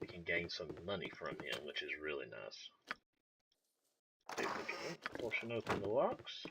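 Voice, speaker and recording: A man with a strong Southern US accent, in a relaxed tone at a fairly slow pace, with long, frequent pauses. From US South, Georgia. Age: 30s. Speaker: gaming YouTuber. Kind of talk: let's play commentary. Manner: casual, relaxed.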